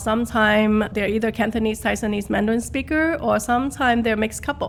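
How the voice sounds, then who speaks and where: A woman speaks with a Guangdong accent. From Minnesota, US, arrived from southern China at nine. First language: Taishanese. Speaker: real estate agent. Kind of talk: interview.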